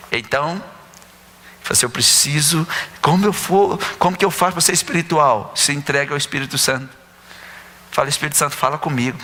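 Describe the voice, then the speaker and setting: With noticeable background noise, a man speaks at a moderate pace in a fairly high pitch, with ordinary pitch variation and long, frequent pauses. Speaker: pastor. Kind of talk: sermon.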